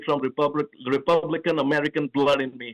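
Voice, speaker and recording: A man with a slight Indian accent speaks at a fairly quick pace and a fairly high pitch. His intonation is fairly even, and the sound is dry and close with no echo. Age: 40s. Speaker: presidential candidate. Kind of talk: radio interview. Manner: halting, many fillers.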